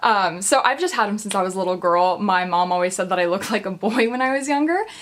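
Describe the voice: A woman talks at a fast pace and medium pitch, her tone fairly bright and her intonation lively.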